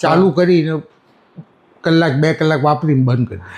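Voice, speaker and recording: This is a man speaking. He uses ordinary pitch variation. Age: 60s. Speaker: loyal customer. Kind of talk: interview answer.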